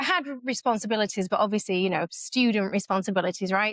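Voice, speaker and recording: On a very clean recording with a silent background, a woman with an American accent talks at a very fast pace with ordinary pitch variation, the sound dry and close with no echo. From northern England, Leeds, Yorkshire. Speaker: community founder. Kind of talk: podcast interview.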